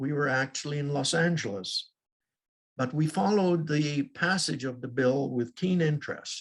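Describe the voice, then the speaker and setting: A man with a fairly high, somewhat breathy voice keeps a moderate pace and shows ordinary pitch variation. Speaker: Holocaust survivor, retired professor. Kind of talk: testimony.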